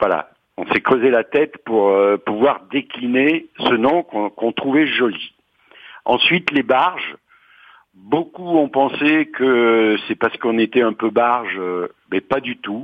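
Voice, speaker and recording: Speaking very slowly, a man uses a medium pitch that moves with ordinary variation. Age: 60s. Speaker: retiree, cooperative housing resident. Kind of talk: interview.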